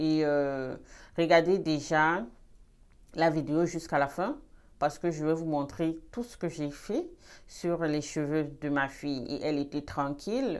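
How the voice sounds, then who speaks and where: Her voice very deep and low, a woman speaks at a very slow pace with ordinary pitch variation. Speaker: beauty vlogger. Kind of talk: tutorial. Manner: trying to speak louder; halting.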